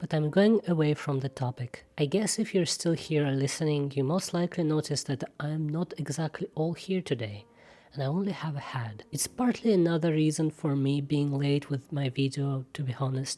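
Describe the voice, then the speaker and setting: A woman's very deep, low voice at a moderate pace with hardly any pauses, ordinary pitch variation, and noticeable background noise. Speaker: self-taught artist and art channel creator. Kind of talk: monologue over speedpaint.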